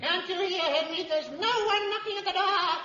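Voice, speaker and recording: Putting on a character voice, a woman speaks at an extremely high pitch and a fairly quick pace, with a slight echo. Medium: old radio play.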